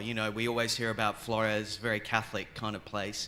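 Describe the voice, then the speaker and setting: A man speaks with an Australian accent. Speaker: theology professor, keynote speaker. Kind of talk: academic lecture. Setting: conference stage with audience.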